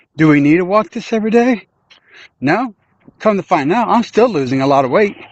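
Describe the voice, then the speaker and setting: A loud man with a high pitch, lively intonation and a moderate pace. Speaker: livestreamer. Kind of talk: casual chat. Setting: outdoors.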